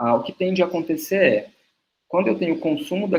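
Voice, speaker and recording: This man's voice sits high in pitch. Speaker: nutritionist and university lecturer. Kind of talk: webinar lecture.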